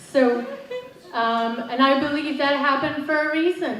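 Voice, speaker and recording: Fairly slow speech in an American accent with ordinary pitch variation, audible room echo, and noticeable background noise. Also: woman. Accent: half Derry, half American. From Northern Ireland, Derry. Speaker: motivational coach. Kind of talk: motivational talk.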